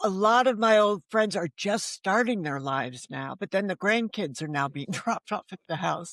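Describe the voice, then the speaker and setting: In a dry, close recording with no echo and a quiet background, a woman with a medium-pitched voice and vocal fry talks at a moderate pace with lively intonation and hardly any pauses. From US Northeast, Connecticut. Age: 70s. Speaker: novelist. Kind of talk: interview conversation.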